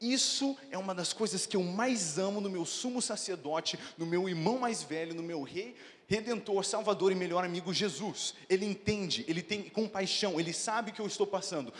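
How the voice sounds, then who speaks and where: A man with a high pitch and an animated tone talks at a moderate pace with ordinary pitch variation. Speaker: pastor. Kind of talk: sermon.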